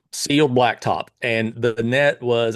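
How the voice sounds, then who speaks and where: A man with a Kentucky accent speaks at medium pitch. His intonation stays fairly even against a quiet background. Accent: Kentucky Southern US. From Pulaski County, Kentucky. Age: 50s. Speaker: tennis coach and tournament founder. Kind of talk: casual interview.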